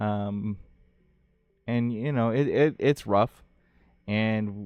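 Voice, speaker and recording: This man has a fairly low pitch. He talks at a very slow pace. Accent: slight Ohio. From Ohio, US. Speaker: game developer and streamer, Marine veteran. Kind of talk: live stream vlog. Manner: halting, many fillers.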